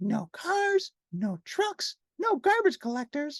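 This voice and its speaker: In a put-on character voice, the speaker squeaks at an extremely high pitch with very wide pitch swings and a fairly slow pace. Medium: read story.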